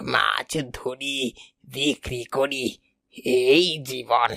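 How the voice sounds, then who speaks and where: A raspy, cartoonish character voice. The pitch sits low to middle. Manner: gentle, tender.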